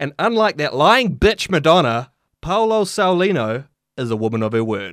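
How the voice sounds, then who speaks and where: In a very clean recording with a silent background, a man with a New Zealand accent and fairly high pitch speaks at a moderate pace with very wide pitch swings. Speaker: podcast host. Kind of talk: reading aloud.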